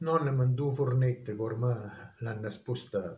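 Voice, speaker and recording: A somewhat breathy man in a Molise accent speaks in a solemn tone at a very slow pace with fairly even intonation, and audible room echo surrounds him. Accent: Termoli dialect. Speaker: dialect poet. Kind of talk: poetry reading. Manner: solemn, slow. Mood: solemn, reflective. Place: home room. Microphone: phone near.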